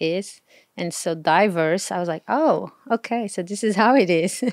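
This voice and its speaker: A woman with a Portuguese accent speaks at a fairly slow pace and medium pitch, her intonation lively. The recording is very clean with a silent background, dry and close with no echo. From Portugal. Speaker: travel blogger. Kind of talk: casual chat. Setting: outdoors.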